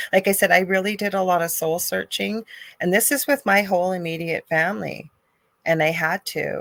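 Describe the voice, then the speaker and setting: A woman with a plain, everyday voice speaks at medium pitch and a moderate pace, with a Canadian accent and ordinary pitch variation. The recording is very clean and dry, close with no echo over a silent background. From Canada. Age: 50s. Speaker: spiritual medium and energy healer. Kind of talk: casual chat.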